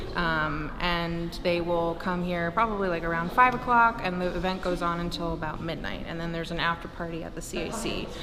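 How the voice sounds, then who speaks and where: A woman's fairly low voice at a fairly quick pace with hardly any pauses, amid noticeable background noise and audible room echo. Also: fairly even intonation. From Louisiana, New Orleans area. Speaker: arts organizer. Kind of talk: interview. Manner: casual, with fillers.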